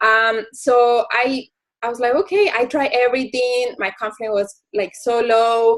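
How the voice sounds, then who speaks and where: At a fairly slow pace, a woman with a Spanish accent speaks in a high pitch. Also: ordinary pitch variation. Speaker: network marketing coach. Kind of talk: team call presentation. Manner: code-switching English and Spanish.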